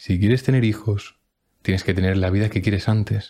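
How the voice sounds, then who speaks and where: Somewhat breathy and dark, mellow in tone, a man's voice sits at a fairly low pitch. He moves at a fairly quick pace. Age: 20s. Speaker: personal development podcaster. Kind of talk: motivational monologue. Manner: emphatic.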